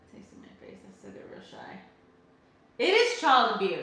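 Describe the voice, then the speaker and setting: A loud woman speaks at a moderate pace in an animated tone, her pitch swinging very widely. Room echo is audible. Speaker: livestreamer, soap maker. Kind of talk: casual chat. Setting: livestream.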